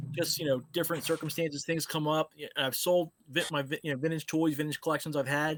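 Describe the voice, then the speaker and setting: With a Philadelphia accent, a man talks very fast with hardly any pauses at a fairly high pitch, his intonation monotone and flat, the sound dry and close with no echo. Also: very clean recording, silent background. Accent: Philly. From Philadelphia area, US. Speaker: toy collector, show host. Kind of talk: casual chat.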